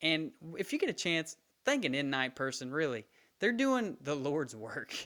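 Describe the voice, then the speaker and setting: With an animated tone, the speaker keeps a moderate pace while the pitch swings very widely. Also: man. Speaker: gaming youtuber and streamer. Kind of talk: casual video commentary.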